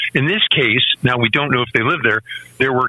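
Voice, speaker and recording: Medium pitch from a man, with noticeable background noise. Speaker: gun rights writer and podcaster. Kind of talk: radio interview. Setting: remote call-in.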